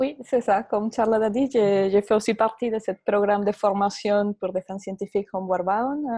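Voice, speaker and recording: Over a quiet background, a woman with a dark, mellow tone talks at a moderate pace with fairly even intonation and hardly any pauses, the sound dry with no echo. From Venezuela. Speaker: particle physicist; conference host. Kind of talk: moderating a webinar. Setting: video call. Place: office. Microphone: earbuds.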